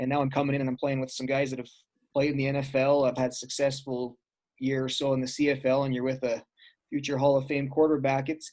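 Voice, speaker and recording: Using a monotone, flat intonation, a man with an Albertan accent and medium pitch talks at a very fast pace. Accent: Canadian (Alberta). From Alberta, Canada. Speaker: former pro football player. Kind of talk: casual interview chat.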